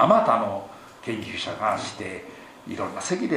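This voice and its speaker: Moving at a moderate pace, a man's speech carries audible room echo along with noticeable background noise. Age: old. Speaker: Buddhist temple head priest. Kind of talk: sermon. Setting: temple hall with congregation.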